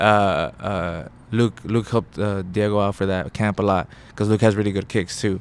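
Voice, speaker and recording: A man with an American accent has a normal speaking voice and a fairly low pitch. He keeps a moderate pace and fairly even intonation. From Rio Grande Valley, Texas. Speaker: professional mixed martial artist. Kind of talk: interview answer. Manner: casual, loose.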